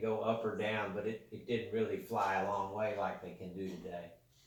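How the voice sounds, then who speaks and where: In a room with audible echo and noticeable background noise, a man talks at a moderate pace with fairly even intonation. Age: 60s. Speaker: grandparent interviewed by a child. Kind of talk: casual interview.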